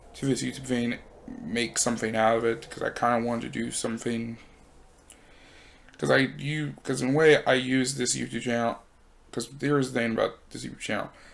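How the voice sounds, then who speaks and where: Soft-spoken and medium in pitch, a man talks at a moderate pace with ordinary pitch variation and long, frequent pauses. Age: 20s. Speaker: YouTuber and broadcasting student. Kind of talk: personal vlog monologue. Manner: halting.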